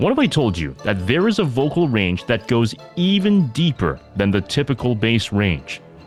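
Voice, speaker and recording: With music in the background, a man speaks at a moderate pace and medium pitch, his loudness very even. His pitch swings very widely and he hardly pauses. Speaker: podcast host. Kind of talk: documentary-style introduction narration.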